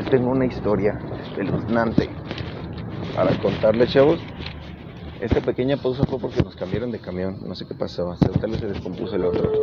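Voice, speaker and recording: A man with a Mexican accent talks at a medium pitch and a fairly quick pace, with ordinary pitch variation and big swings in loudness. Long, frequent pauses break up his speech over noticeable background noise. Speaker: radio show host. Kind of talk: casual advice talk show. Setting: on a moving bus.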